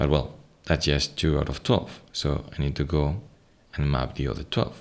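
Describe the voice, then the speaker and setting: A soft-spoken man talks fairly slowly in a Spanish accent, his voice very deep and low with vocal fry. His intonation stays fairly even. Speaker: software product presenter. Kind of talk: software tutorial screen walkthrough.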